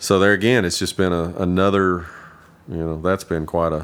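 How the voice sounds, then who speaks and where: The speaker has an Appalachian accent and a monotone, flat intonation. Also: man. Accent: Southern US (Appalachian). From East Tennessee, US (Kingsport). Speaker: bluegrass bass player and farmer. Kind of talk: casual interview chat.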